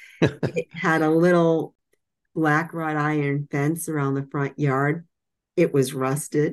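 In an American accent, a woman speaks very slowly with a very deep, low pitch and monotone, flat intonation. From Massachusetts. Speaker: author and medical writer. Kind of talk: interview.

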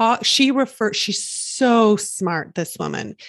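A woman's ordinary speaking voice at a fairly slow pace, dry and close with no echo, over a quiet background. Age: 40s. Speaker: life coach and podcast host. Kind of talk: casual interview chat.

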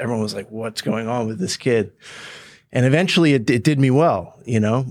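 A man with a New York State accent on a very clean recording against a silent background. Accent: American, New York State. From New York State, Woodstock. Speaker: startup founder and CEO. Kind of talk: casual interview.

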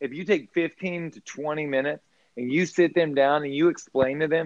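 Speaking at a moderate pace with fairly even intonation, a man has an ordinary speaking voice and an American accent. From US South, Baton Rouge, Louisiana. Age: 40s. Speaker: restaurant owner. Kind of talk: casual chat.

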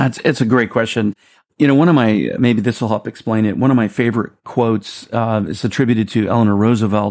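In a plain, everyday voice, a man at medium pitch talks at a fairly quick pace with fairly even intonation against a quiet background. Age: 50s. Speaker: creative executive and theme park designer. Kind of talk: interview.

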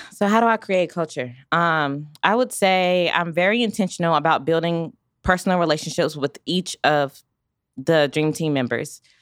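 A woman with an American accent and an unremarkable speaking voice talks at a moderate pace, fairly low in pitch with ordinary pitch variation. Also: very even loudness. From US South, Raleigh, North Carolina. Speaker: small business owner. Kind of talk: interview. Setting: studio.

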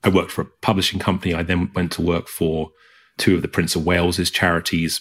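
Heard on a very clean recording with a silent background, the speaker has a strong British accent. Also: man. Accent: British, thick. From England. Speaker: arts CEO and author. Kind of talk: interview conversation.

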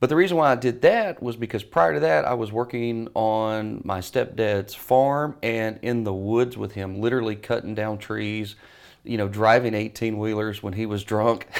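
A man with a Southern US accent at medium pitch, moderate pace, ordinary pitch variation and hardly any pauses, in a very clean recording with a silent background. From US South, Mississippi. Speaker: business coach. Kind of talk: interview.

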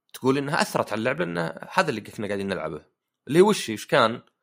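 The man's pitch swings very widely. The recording is very clean, with a silent background. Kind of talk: casual chat.

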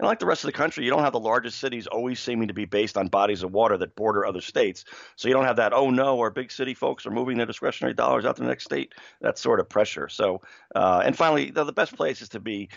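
Very fast speech from a man with lively intonation. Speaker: sports betting analyst and journalist. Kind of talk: casual podcast chat.

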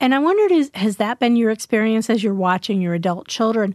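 The recording is very clean, with a silent background. A woman with a fairly high pitch and lively intonation talks in an ordinary speaking voice. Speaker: podcast host. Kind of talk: casual chat.

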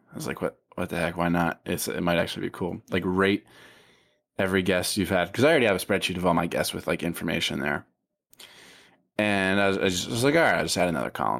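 A man with a very deep, low voice talks at a very fast pace with ordinary pitch variation, recorded very cleanly against a silent background. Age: 20s. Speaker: podcast host and author. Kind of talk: casual chat.

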